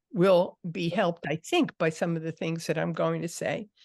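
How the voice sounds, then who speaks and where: Recorded with a dry, close sound without echo against a quiet background, a woman speaks with vocal fry. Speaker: writing teacher. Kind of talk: lecture.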